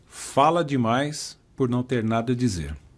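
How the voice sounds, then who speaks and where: A man speaks with ordinary pitch variation. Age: 60s. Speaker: podcast host. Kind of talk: podcast conversation.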